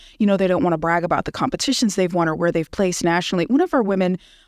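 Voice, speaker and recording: A woman speaks in a normal speaking voice at a medium pitch, with ordinary pitch variation. The sound is dry and close with no echo, and the recording is very clean with a silent background. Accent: American. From California, Bay Area. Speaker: photographer and magazine founder. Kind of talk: radio podcast interview. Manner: casual, many fillers (um, like).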